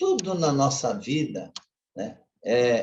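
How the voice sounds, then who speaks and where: A man speaks in a somewhat breathy voice with a fairly high pitch. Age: 60s. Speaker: lay preacher. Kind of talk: sermon. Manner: conversational, informal.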